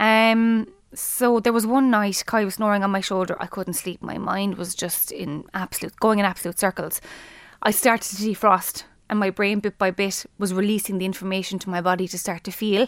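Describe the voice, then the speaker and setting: In a Limerick accent, a woman speaks at a moderate pace with a medium pitch and fairly even intonation. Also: very clean recording, silent background. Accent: Irish (Limerick). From Ireland, Limerick. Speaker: teacher and bereaved mother. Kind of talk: interview, personal testimony. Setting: studio.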